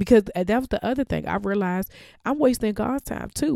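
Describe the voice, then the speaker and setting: Over a very clean recording with a silent background, a woman speaks in a dark, mellow tone with vocal fry and very wide pitch swings. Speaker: podcast host. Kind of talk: motivational faith talk. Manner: casual, laughs often.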